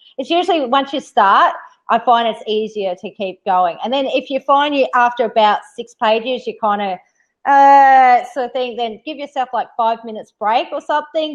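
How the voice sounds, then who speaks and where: A woman with an Australian accent at a high pitch, moderate pace and lively intonation. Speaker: live stream host. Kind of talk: casual chat.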